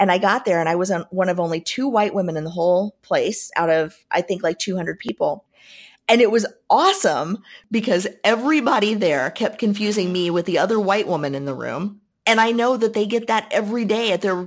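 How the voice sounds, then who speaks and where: Speaking at a fairly quick pace, a woman with an American accent has medium pitch and ordinary pitch variation. Hers is an unremarkable speaking voice. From US Midwest, Southern Indiana. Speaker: business leadership coach and author. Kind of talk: interview.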